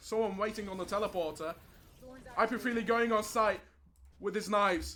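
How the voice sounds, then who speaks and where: This man talks in a raised, projected voice with a bright, sharp tone at a high pitch. His intonation stays fairly even and his pace is fairly quick. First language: not English. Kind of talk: live commentary.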